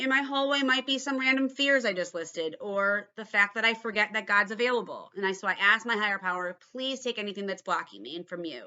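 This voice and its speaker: A woman talks at a fairly quick pace with hardly any pauses. Her fairly high pitch comes with lively intonation. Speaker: AA big book study leader and podcaster. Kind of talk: instructional talk / tutorial. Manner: fast; casual, conversational.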